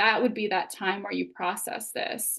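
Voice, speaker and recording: A woman speaks with vocal fry. The background is quiet. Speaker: psychologist and author. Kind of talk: webinar presentation. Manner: fast.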